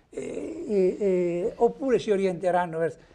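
This man's high-pitched voice carries lively intonation. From Umbria, Perugia; Umbria. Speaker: journalist. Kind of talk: TV talk show interview. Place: studio. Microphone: lapel.

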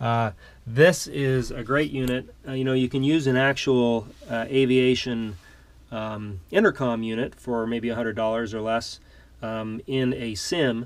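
A man at a fairly slow pace, his intonation fairly even. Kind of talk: casual tour narration. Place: home room. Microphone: phone near.

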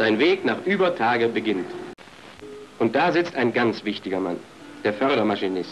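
A man's pitch swings very widely as he talks at a moderate pace amid noticeable background noise. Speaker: film narrator. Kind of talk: promotional documentary narration.

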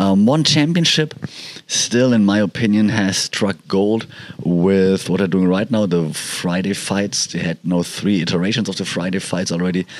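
The pitch moves with ordinary variation. Noticeable background noise can be heard. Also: man, fairly low pitch for a man, moderate pace. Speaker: podcaster. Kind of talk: casual podcast talk.

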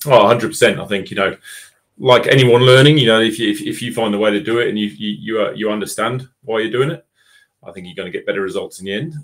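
A man talks at a fast pace with a fairly low pitch. His tone is fairly bright. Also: ordinary pitch variation.

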